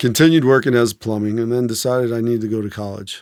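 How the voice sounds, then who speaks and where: A plain, everyday voice, this man's has an American accent, a medium pitch, fairly even intonation and a fairly quick pace. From Maryland, outside Washington DC (Silver Spring). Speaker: former Green Beret. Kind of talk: interview storytelling. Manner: casual, with fillers and repetitions.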